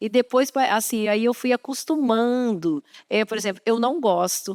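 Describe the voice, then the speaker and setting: Her voice fairly high, a woman speaks at a fairly slow pace with lively intonation in a dry, close sound with no echo. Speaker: program presenter. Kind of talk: interview on a church program. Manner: hesitant, repeating words.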